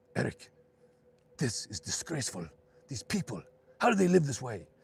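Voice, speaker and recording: A man puts on a character voice with a strong German accent, his pitch sitting in the medium range. He moves at a moderate pace, and his pitch swings very widely. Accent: thick German. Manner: disapproving, scolding.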